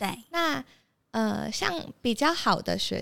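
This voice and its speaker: A woman talks at a fairly slow pace on a very clean recording with a silent background. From Taipei, Taiwan. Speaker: recent university graduate. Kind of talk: interview.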